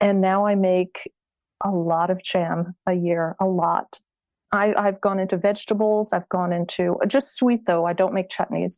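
Speaking with an American accent in a plain, everyday voice, a woman keeps a medium pitch, a fairly slow pace, fairly even intonation and very even loudness. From US South, Florida Space Coast. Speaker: food writer and hotel owner. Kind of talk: interview. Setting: remote call from her hotel.

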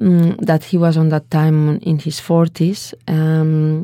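A woman with a Spanish accent speaks very slowly in a very deep, low voice with a dark, mellow tone. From Spain, Valencia. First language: Spanish or Catalan. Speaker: dance artist. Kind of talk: interview.

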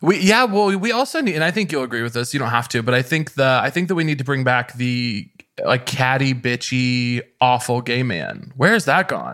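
With an American accent, a man speaks in a plain, everyday voice at a medium pitch and a moderate pace. His intonation is lively, with hardly any pauses. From rural Missouri. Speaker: comedian. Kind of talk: casual chat.

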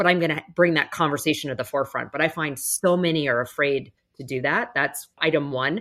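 With a Canadian accent, a woman speaks in a very deep, low pitch at a fairly quick pace, her pitch variation ordinary and hardly any pauses. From Canada. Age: 40s. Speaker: business executive and speaker. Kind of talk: interview conversation. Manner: direct.

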